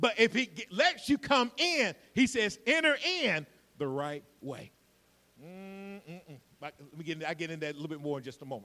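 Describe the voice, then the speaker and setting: With a Georgia accent, a man talks at a moderate pace and high pitch, with very wide pitch swings and big swings in loudness. Long, frequent pauses and noticeable background noise run through it. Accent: Southern US, Georgia. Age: 50s. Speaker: pastor. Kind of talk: sermon.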